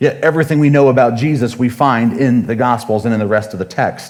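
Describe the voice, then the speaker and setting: Speaking at a fairly quick pace, a man with a medium pitch is heard with audible room echo. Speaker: pastor. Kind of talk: sermon. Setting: church. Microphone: sound issues with new equipment.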